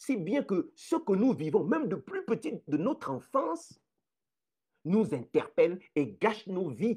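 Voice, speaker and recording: A man with a high pitch and a dark, mellow tone talks at a very slow pace with very wide pitch swings. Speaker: live streamer, social commentator. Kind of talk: live stream talk. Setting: home living room, live stream. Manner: slow, deliberate.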